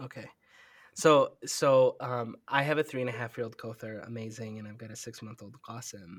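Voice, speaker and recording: A man speaks in an ordinary speaking voice with an American accent, medium pitch and a moderate pace. His intonation is fairly even while his loudness swings widely, on a very clean recording with a silent background. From Minnesota, US. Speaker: nonprofit executive director. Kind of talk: interview.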